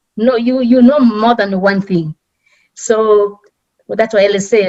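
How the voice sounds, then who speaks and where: A woman with a strong Kenyan accent speaks at a moderate pace and a fairly high pitch, with ordinary pitch variation. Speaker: immigrant community leader. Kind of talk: panel talk. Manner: halting.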